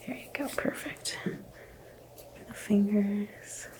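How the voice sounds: A whispering woman at a slow pace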